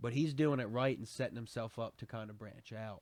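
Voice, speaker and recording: The speaker talks at a moderate pace with a Southern US accent and fairly even intonation. The recording is very clean, with a silent background. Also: man. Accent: Southern twang. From Pensacola, Florida Panhandle; near the Alabama border.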